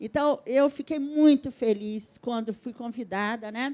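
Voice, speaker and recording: A woman speaks at a moderate pace with fairly even intonation. Her tone is dark and mellow. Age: 70s. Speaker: audience member, community health agent. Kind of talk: audience remark at a panel. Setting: stage event with audience.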